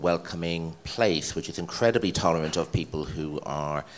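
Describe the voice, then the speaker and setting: The speaker has an Irish accent. The delivery comes at a fairly slow pace. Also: man. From Ireland. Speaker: head of a cultural organisation. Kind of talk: interview.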